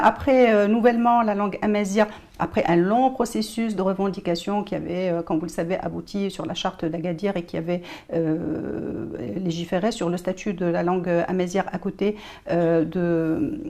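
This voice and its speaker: Noticeable background noise surrounds a woman who speaks at a medium pitch and moderate pace, with ordinary pitch variation. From Morocco. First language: Moroccan Arabic (darija) (speaking French). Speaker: journalist and writer. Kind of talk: TV interview. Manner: hesitant, many filler sounds.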